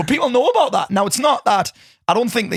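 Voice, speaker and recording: Animated in tone, a man talks at a very fast pace with a Geordie accent. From northeast England, Newcastle area. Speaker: business coach. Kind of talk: casual chat.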